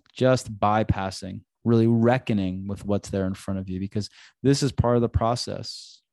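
A man with an ordinary speaking voice talks at a medium pitch. The sound is dry and close with no echo, over a quiet background. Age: 40s. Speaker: relationship coach and yoga teacher, podcast host. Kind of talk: solo podcast talk on relationships and self-growth; guided breathing meditation inviting listeners to close eyes. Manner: warm, conversational, casual with filler phrases; slow, gentle, soothing invitations with pauses.

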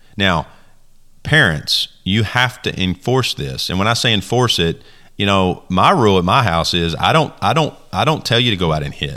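A man with a bright, sharp tone and fairly low pitch speaks with very wide pitch swings. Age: 30s. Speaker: youth baseball podcast host and coach. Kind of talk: solo podcast monologue. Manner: casual, conversational with fillers.

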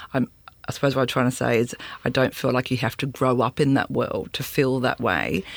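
With an Australian accent, someone talks at a fairly quick pace. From Sydney, Australia. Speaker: festival curator. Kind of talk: casual interview. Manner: hesitant, many fillers.

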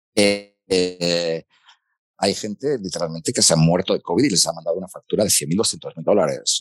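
A man talks at a moderate pace over music in the background. The sound is dry and close with no echo. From Spain, Asturias (Gijón). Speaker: foreign correspondent journalist. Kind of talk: interview conversation.

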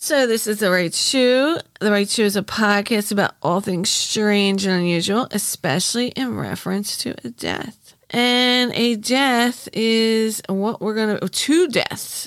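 The woman's delivery is fairly slow. Her pitch moves in an ordinary way. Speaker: podcast host. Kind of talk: casual monologue. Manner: scattered, rambling delivery. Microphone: microphone problems, sounds booming.

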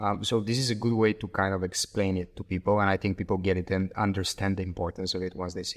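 On a very clean recording with a silent background, a man with a Bulgarian accent talks very fast in a fairly low, flat, monotone voice. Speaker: startup executive. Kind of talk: interview.

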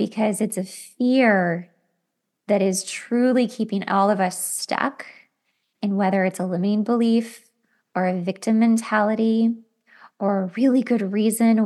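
A woman with an unremarkable speaking voice talks slowly, fairly so, at a fairly high pitch. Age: 40s. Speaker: podcast host, makeup artist. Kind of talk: solo self-help monologue. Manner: casual, conversational.

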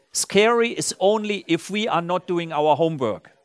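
Speaking fairly slowly with lively intonation, a man with a German accent has a high pitch, recorded with a dry, close sound and no echo. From Germany, Saarland region. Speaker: company CEO. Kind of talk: on-stage interview. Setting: stage with audience.

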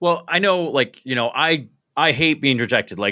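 This man has a fairly high pitch and a bright, sharp tone with vocal fry. He talks at a moderate pace. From upstate New York (Binghamton). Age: 30s. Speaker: podcast host and stand-up comedian. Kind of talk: casual chat. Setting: video call.

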